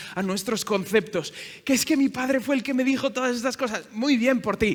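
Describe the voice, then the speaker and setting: A man speaks in an animated tone at a moderate pace. His voice has a bright, sharp tone. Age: 30s. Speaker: pastor. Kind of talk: sermon. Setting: church.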